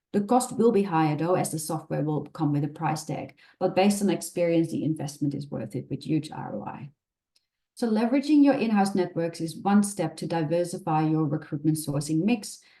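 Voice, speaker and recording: In a Dutch accent, the speaker talks at a fairly quick pace with a dark, mellow tone and lively intonation. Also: woman, fairly low pitch for a woman. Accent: Dutch accent, persistent. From Netherlands. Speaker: recruitment specialist, webinar presenter. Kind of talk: webinar presentation. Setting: online webinar.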